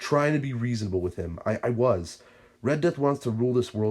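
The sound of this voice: Reading in an unforced voice.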